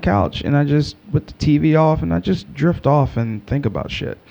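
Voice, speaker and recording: A fairly high-pitched man's voice with a dark, mellow tone, an American accent and very wide pitch swings. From Texas. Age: 30s. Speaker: podcaster. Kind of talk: casual solo podcast monologue. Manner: halting; casual.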